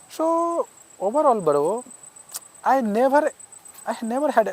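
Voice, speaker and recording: A man's voice with very wide pitch swings. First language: not English. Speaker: English learner vlogger. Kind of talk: casual talk to camera. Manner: halting.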